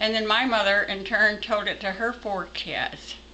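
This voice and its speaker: Over noticeable background noise, a woman with a medium pitch talks at a fairly slow pace. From Texas. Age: 80s+. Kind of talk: folk tale storytelling.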